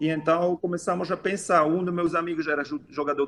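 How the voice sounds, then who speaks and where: A man's high voice with fairly even intonation at a moderate pace. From Switzerland. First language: not Portuguese; learned Portuguese five years ago (speaking Portuguese). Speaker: physical education teacher and game creator. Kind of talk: interview. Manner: halting, with self-corrections.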